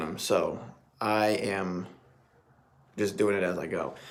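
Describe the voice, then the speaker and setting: A man speaks at a fairly low pitch. Room echo is audible. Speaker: tie-knot tutorial creator. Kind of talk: tutorial. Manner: fast; casual.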